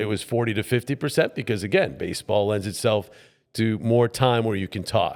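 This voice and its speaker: A man with an American accent and a plain, everyday voice, at a fairly quick pace, on a very clean recording with a silent background. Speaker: play-by-play sports broadcaster, voiceover mentor. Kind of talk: interview answer, conversational storytelling.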